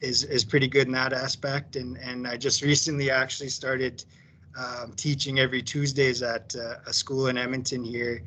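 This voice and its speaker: In a western Canadian accent, a man speaks at a medium pitch and a moderate pace. His intonation is monotone and flat, with noticeable background noise behind him. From Alberta, Canada. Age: 30s. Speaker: powwow dancer and company employee. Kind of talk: casual sharing circle talk. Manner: halting, many fillers.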